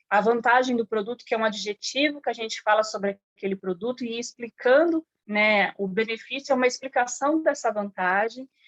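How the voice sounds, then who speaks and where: At a moderate pace with hardly any pauses, a woman with a normal speaking voice talks in a fairly high pitch with ordinary pitch variation, the sound dry and close with no echo. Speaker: sales trainer. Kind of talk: online training session.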